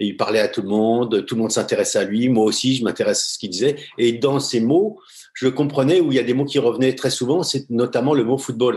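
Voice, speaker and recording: Ordinary pitch variation at a fairly quick pace. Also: man, medium pitch for a man. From France, Paris suburbs (Seine-Saint-Denis). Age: 60s. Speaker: former pro goalkeeper, football coach, mental coach. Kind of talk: podcast interview. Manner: hesitant, many fillers.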